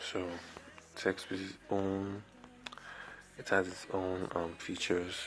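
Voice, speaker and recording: A man speaks quietly at a very slow pace with long, frequent pauses. His very deep, low pitch stays monotone and flat. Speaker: video editing tutorial youtuber. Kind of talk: tutorial. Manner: quiet, talking low; casual, halting.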